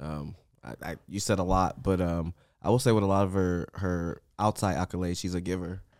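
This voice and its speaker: The recording is very clean, with a silent background. The speaker has an American accent and talks at a fairly quick pace with fairly even intonation. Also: man, very deep, low pitch for a man. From US West Coast. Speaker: podcast host. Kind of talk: casual chat.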